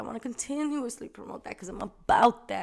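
Her tone animated and her intonation lively, a woman speaks at a fairly quick pace. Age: 20s. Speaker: podcast host. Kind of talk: casual monologue.

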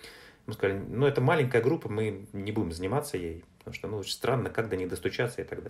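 Speaking at a very fast pace, a man uses medium pitch and lively intonation. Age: 40s. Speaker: entrepreneur and publisher. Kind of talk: interview. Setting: remote call.

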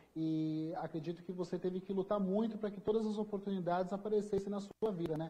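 The man's voice sits high in pitch, and his intonation stays fairly even. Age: young. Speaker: TV journalist. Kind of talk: live TV interview.

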